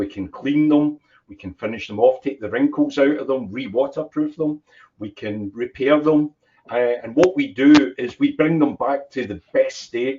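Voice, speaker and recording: A man with a Scottish accent and a fairly high voice for a man. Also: big swings in loudness. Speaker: business owner. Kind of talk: interview.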